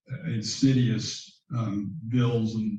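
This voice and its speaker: A man with an American accent speaks at medium pitch in a dark, mellow tone that is somewhat breathy. There is audible room echo. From US South, Central Florida. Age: 60s. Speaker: bank founder and CEO. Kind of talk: interview conversation. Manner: halting, many fillers.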